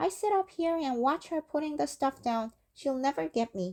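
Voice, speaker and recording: This female-sounding voice is a put-on character voice. It is shrill and high in pitch. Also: moderate pace. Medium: read story. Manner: shrill, shrieking.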